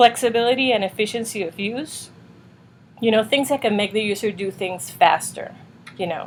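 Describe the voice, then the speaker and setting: A woman with a slight non-native accent, fairly high in pitch, with ordinary pitch variation and a moderate pace. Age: 40s. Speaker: UX designer and reviewer. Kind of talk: casual tutorial review. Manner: casual with many fillers.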